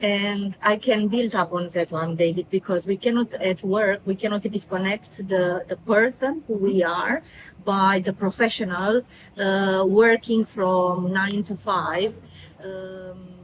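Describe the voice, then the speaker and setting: At a fairly slow pace, a woman speaks with a Romanian accent. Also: medium pitch for a woman, fairly even intonation. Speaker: career mentor. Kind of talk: motivational talk. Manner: halting, many fillers.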